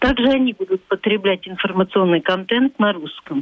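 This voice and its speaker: Her medium-pitched voice fairly even in intonation, a woman speaks with a Latvian accent. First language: Latvian (speaking Russian). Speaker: civic activist. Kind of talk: radio interview.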